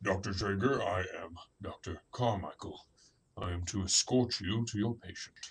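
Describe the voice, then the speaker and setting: A man puts on a character voice at a fairly low pitch. He keeps a moderate pace and fairly even intonation. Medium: audio drama. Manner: curt, formal.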